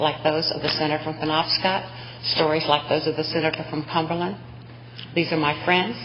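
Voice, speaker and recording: Noticeable background noise accompanies a woman with an American accent. Her pitch is very deep and low. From US South. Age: 60s. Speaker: state senate president. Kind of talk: legislative floor speech. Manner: formal.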